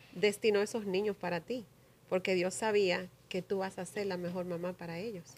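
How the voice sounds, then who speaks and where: A woman speaks at a moderate pace. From New Jersey, US (Paterson), Dominican mother; New Jersey. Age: 40s. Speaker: community leader; podcast guest. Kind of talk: interview. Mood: warm, reflective, proud. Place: studio. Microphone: studio mic.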